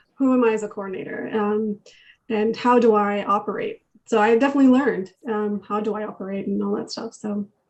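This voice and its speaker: Soft-spoken yet with big swings in loudness, a woman talks at a fairly quick pace with fairly even intonation. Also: fairly high pitch for a woman. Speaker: youth program coordinator. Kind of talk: casual group discussion. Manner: halting.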